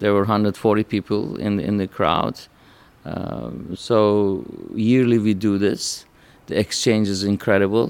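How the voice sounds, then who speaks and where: Speaking at a fairly slow pace, a man with an unremarkable speaking voice uses a fairly low pitch and ordinary pitch variation. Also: very clean recording, silent background. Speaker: endometriosis surgeon. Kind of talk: interview.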